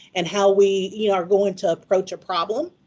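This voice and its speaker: Speaking with a Southern US accent, a woman talks at a moderate pace in a medium-pitched voice. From US South, Mississippi. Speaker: pharmacist and conference presenter. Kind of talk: conference presentation. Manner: casual, conversational.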